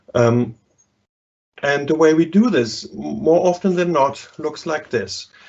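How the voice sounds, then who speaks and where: A man speaks at a fairly slow pace with a German accent. His intonation is lively. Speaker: psychology professor. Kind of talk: lecture. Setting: live online webinar.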